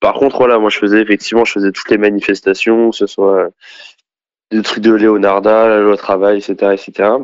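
A man speaks at a moderate pace in a fairly low pitch, with monotone, flat intonation. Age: 20s. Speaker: former far-left activist. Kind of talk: testimony. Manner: halting.

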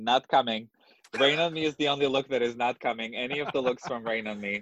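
This man speaks with a Russian accent at a medium pitch. His pace is moderate and his intonation fairly even. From Russia (Moscow). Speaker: drag queen. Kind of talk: casual chat.

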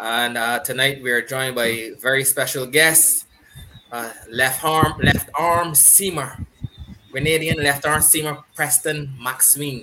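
A man talks at a fairly slow pace in a fairly high pitch, his intonation fairly even. Noticeable background noise sits behind him. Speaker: podcast host. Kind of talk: casual chat.

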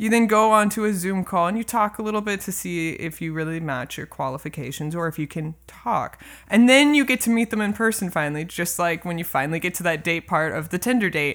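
This is a woman with an American accent and an ordinary speaking voice. Her pitch sits fairly low, and her intonation is lively. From California. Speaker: music professor and jazz bassist. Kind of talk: casual chat.

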